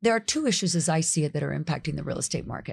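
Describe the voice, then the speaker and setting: The recording is very clean, with a silent background. A woman with an American accent speaks at a fairly low pitch with vocal fry and ordinary pitch variation. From South Florida. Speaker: county commissioner and former state legislator. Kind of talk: podcast interview.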